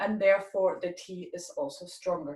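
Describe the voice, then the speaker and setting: The speech moves at a fairly slow pace and sounds somewhat breathy. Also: woman. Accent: German. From Germany. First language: German. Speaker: tea expert presenter. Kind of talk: tutorial.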